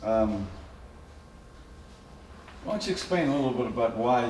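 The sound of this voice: Big pitch swings run through a man's slightly mellow tone, with audible room echo around him.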